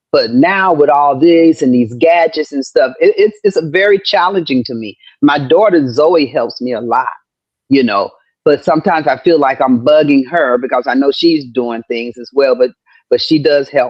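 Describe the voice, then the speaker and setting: Woman with a very deep, low pitch, lively intonation and a moderate pace. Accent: Southern US. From US South, Georgia. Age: 60s. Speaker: comedian and actress. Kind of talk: casual chat.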